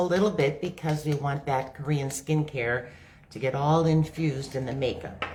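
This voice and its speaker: A woman with a very deep, low voice speaks somewhat breathily. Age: 60s. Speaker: makeup demonstrator and product seller. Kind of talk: live makeup tutorial. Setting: livestream on social media. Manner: casual, conversational.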